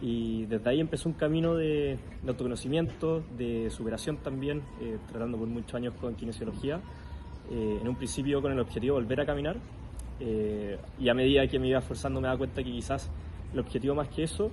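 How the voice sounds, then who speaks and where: This man has an unremarkable speaking voice with a medium pitch. He talks at a fairly quick pace with ordinary pitch variation. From Chile. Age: 20s. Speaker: para-athlete and psychologist. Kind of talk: interview.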